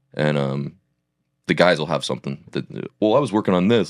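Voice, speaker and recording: With an American accent, a man talks in a very deep, low voice with vocal fry and ordinary pitch variation. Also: dry, close sound with no echo. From Oregon. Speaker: country singer. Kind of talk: casual chat.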